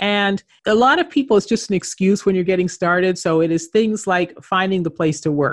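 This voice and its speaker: A woman with a Canadian accent, ordinary pitch variation, and a quiet background. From Canada. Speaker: entrepreneur and author. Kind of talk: interview.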